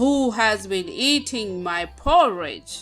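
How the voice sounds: A loud, booming put-on character voice at fairly high pitch and a fairly slow pace, with faint music in the background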